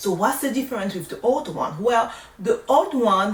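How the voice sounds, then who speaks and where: A woman speaks in a French accent at a fairly slow pace. Her intonation is lively, and background noise is noticeable. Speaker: nurse. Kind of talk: tutorial. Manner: casual, conversational.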